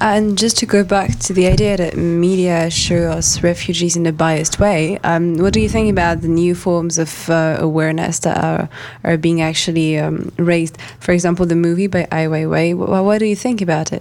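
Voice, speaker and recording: A French accent at a moderate pace with hardly any pauses, ordinary pitch variation, and very even loudness amid noticeable background noise. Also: woman, fairly low pitch for a woman. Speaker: student association president. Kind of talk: interview.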